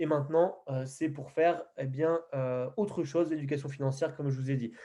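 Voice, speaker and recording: Here a man talks at a moderate pace in a fairly high pitch. His tone is dark and mellow, and his intonation fairly even. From Picardy, northern France. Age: 20s. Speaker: podcast host, network marketing entrepreneur. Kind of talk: interview introduction. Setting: call. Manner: hesitant, many fillers.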